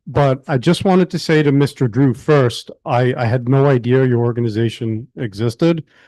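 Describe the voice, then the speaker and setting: Against a quiet background, a voice with a dark, mellow tone speaks with ordinary pitch variation and hardly any pauses. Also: man, medium pitch for a man, moderate pace. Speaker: tenant association member asking a question. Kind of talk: public meeting Q&A question. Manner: halting, many fillers.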